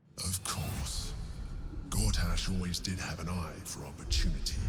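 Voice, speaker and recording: Clear background noise sits behind this recording. A man uses a put-on character voice, very deep and low, at a moderate pace. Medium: video game. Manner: measured, scheming.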